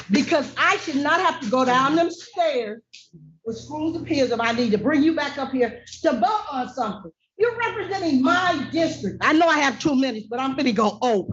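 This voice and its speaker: A woman speaks at a moderate pace in a high voice whose pitch swings very widely. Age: 60s. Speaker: resident speaking at public comment. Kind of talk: public comment at council meeting. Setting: city council meeting. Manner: emphatic.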